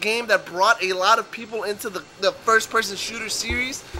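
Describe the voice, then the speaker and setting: Over noticeable background noise, a man talks in a raised, projected voice. His pitch is high and his pace fairly quick. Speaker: gaming commentator. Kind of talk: gameplay commentary. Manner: fast; loud.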